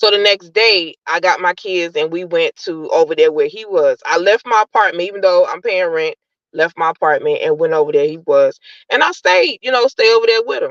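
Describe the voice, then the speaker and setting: A woman with an American accent and an ordinary speaking voice, medium pitch with ordinary variation, a fairly quick pace, and a dry, close sound with no echo. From New York, Brooklyn. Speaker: caller. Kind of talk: personal testimony.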